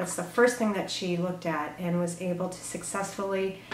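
A woman's monotone, flat delivery at a moderate pace, with noticeable background noise. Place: office.

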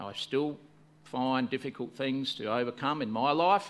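A man speaks with ordinary pitch variation. His tone is bright and sharp. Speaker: lay preacher. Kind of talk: sermon. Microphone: podium.

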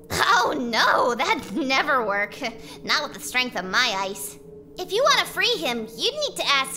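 A cartoonish character voice that sounds female moves at a fairly slow pace over clear background noise. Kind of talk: comic cartoon voice acting. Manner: flippant, teasing, showy.

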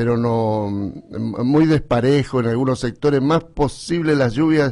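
A man talks at a fairly slow pace, his pitch varying in an ordinary way, with a quiet background. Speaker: radio host, agricultural journalist. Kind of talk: radio weather commentary. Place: studio.

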